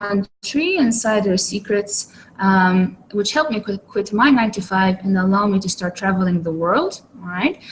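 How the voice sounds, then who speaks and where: A woman with a medium pitch and a somewhat breathy voice speaks at a moderate pace with ordinary pitch variation. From Malta. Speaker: online marketer. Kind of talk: webinar presentation. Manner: hesitant, many fillers.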